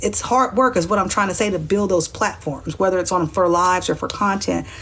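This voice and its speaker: Pitched at a medium level, the woman's voice comes across as somewhat breathy. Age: 40s. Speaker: livestreamer. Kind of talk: livestream monologue.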